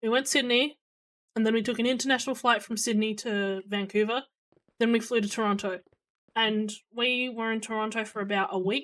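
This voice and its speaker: With an Australian accent, a woman speaks at a fairly high pitch and fairly quick pace, using fairly even intonation and long, frequent pauses, in a very clean recording with a silent background. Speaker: streamer. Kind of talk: casual chat. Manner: loud; hesitant, many fillers.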